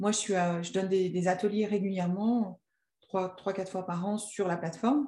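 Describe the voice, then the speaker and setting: A woman's voice, dark and mellow and somewhat breathy, sits at a medium pitch and keeps a moderate pace. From Annecy, French Alps. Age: 40s. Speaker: entrepreneur and coach. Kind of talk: interview. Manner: hesitant, many fillers.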